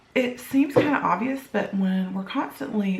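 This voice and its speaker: A woman speaks quietly at a moderate pace with lively intonation. The recording has audible room echo and noticeable background noise. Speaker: blogger. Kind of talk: casual vlog talk. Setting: home kitchen. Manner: talking low, quiet.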